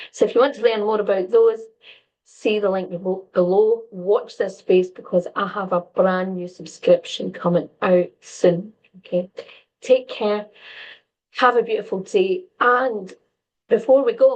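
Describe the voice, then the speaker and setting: Here a woman talks with a normal speaking voice. Her pitch is medium and varies in an ordinary way. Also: fairly slow pace. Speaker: empath coach and stress coach. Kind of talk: casual advice talk to camera.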